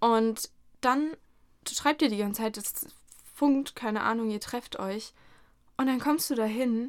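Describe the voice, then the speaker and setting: A woman talks at a very slow pace, her fairly high voice showing ordinary pitch variation. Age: 20s. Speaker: podcast host, university student. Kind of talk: casual chat. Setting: studio.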